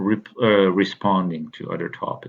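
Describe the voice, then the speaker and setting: Speaking with a non-native accent, a man talks at a fairly slow pace. His pitch sits fairly low, and his intonation is fairly even. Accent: foreign. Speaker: university instructor. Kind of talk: course overview lecture. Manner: halting, many fillers.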